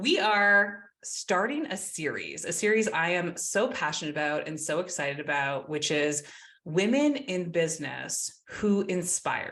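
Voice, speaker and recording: At a fairly slow pace, a woman with a fairly low pitch talks in a bright, sharp, animated tone with lively intonation. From Canada. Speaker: podcast host. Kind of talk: podcast interview. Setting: home office.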